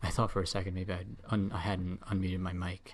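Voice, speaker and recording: A man with a very deep, low pitch and a somewhat breathy voice talks at a fairly quick pace. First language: not English. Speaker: video game streamer. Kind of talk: live gameplay commentary. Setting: live stream. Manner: casual, relaxed with fillers.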